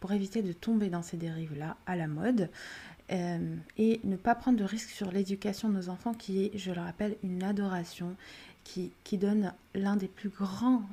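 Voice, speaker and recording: In an Arabic accent, a woman speaks at a fairly slow pace with fairly even intonation. Her tone is dark and mellow, and somewhat breathy. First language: Arabic (speaking French). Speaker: parenting podcast host. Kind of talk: solo podcast monologue. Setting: at home during children's nap. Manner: some hesitation and repeated words.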